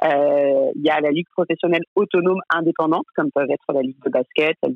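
Speaking at a very fast pace, a woman uses a very deep, low pitch with ordinary pitch variation. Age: 30s. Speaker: head of a women's sports league. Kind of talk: interview. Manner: halting.

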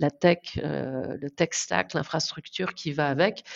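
A woman talks at a fairly slow pace, her voice showing ordinary pitch variation. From France, southern Brittany (Guérande area). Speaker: marketing executive. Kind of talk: interview. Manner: halting, many repetitions and fillers.

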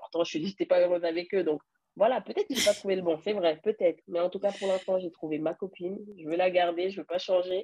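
Speaking at a very fast pace, a woman has a medium pitch and a dark, mellow tone with fairly even intonation. The sound is dry and close with no echo. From France. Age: 30s. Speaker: egg donor. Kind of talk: interview.

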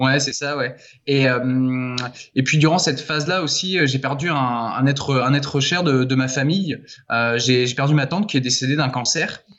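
This man talks at a moderate pace, his medium-pitched voice carrying fairly even intonation. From France, Laval. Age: 20s. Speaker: author. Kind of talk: interview. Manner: halting.

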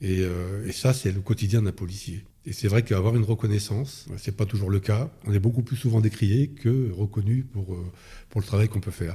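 A man's fairly low, dark, mellow voice, somewhat breathy, with ordinary pitch variation at a moderate pace. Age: 60s. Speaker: retired police officer. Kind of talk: interview. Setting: in Paris near the Interior Ministry. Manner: hesitant with fillers.

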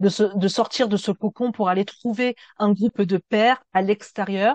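A woman talks at a medium pitch. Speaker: therapist and podcast host. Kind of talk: reading a script. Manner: energetic delivery.

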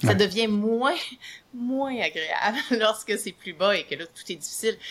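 A woman with a Quebec accent speaks at a fairly slow pace in a fairly high pitch. Her intonation is lively, and her loudness swings widely. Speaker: psychologist and author. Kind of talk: interview.

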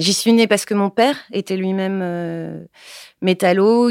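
A woman with an unremarkable speaking voice talks at a fairly low pitch, with ordinary pitch variation. The recording is very clean with a silent background, and the sound is dry and close with no echo. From Paris, France. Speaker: film director. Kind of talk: interview testimony.

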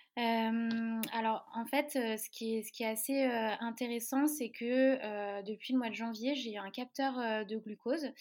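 Speaking at a very slow pace with hardly any pauses, a woman keeps a fairly high pitch and fairly even intonation while her loudness swings widely. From Lorraine, France. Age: 20s. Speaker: web marketing consultant with type 1 diabetes. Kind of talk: podcast interview. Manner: hesitant, many fillers.

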